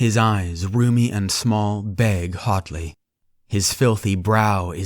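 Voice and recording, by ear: Someone reads aloud in a natural voice. The background is quiet.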